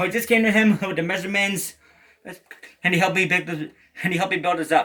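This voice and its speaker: Speaking very fast in a raised, projected voice, a man with a high pitch keeps his intonation fairly even. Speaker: guitarist, video creator. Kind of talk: gear rundown tutorial. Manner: halting, repeated words.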